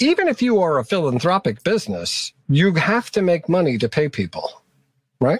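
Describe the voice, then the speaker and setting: A man speaks with an American accent and a high pitch, making very wide pitch swings. His loudness stays very even, and the sound is dry and close with no echo. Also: moderate pace. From New York. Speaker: author and entrepreneur. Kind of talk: interview.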